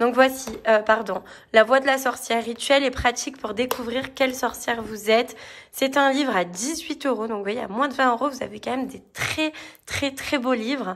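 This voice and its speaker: Her pitch is high for a woman. The intonation stays fairly even. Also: moderate pace. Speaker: tarot and spirituality book reviewer. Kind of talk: casual book review video.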